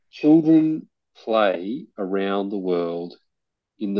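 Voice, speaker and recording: A man with an Australian accent speaks at a very slow pace, his intonation lively. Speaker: playground nonprofit founder. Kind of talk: interview. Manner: halting.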